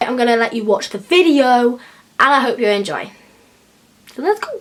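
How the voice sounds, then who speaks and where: Her pitch is high and her intonation lively. This woman speaks with an English accent. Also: moderate pace. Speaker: beauty vlogger. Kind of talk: makeup tutorial. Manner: casual, chatty.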